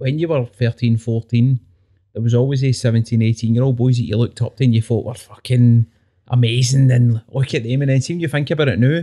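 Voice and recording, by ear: A man with a Glaswegian accent, medium in pitch, at a fairly quick pace, dark and mellow in tone, with fairly even intonation.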